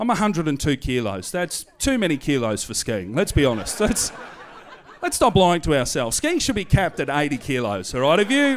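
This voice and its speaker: Talking at a fairly quick pace with very wide pitch swings, a man with an Australian accent and fairly high pitch is heard over noticeable background noise. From Australia, Hoppers Crossing, western Melbourne. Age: 30s. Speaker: stand-up comedian. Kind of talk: stand-up. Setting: stage with audience. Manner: animated.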